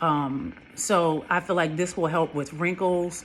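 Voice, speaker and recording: This woman's voice is fairly low in pitch, with fairly even intonation. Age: 50s. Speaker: skincare vlogger. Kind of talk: casual vlog talk to camera. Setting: home, sitting under a face steamer. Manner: hesitant, many fillers.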